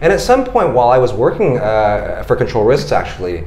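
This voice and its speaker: Speaking fairly quickly with an American accent, a man is heard through audible room echo and noticeable background noise. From United States. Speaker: founder of a public lecture platform. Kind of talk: podcast interview. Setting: office.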